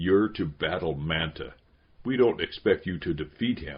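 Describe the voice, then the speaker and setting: A put-on character voice growls at a moderate pace with lively intonation. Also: man, very deep, low pitch for a man. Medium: read story. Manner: threatening, disdainful.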